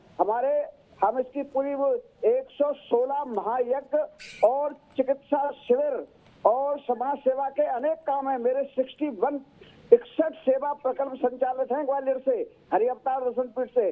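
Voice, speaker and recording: Fairly even intonation marks a man's voice at an extremely high pitch. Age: 70s. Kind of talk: TV news panel debate.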